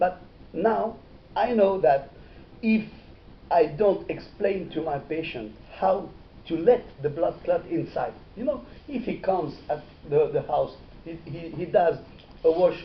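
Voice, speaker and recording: High male voice, lively intonation, fairly slow pace and long, frequent pauses. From Morocco, Meknes. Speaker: dental surgeon lecturer. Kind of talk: lecture. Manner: halting, many hesitations.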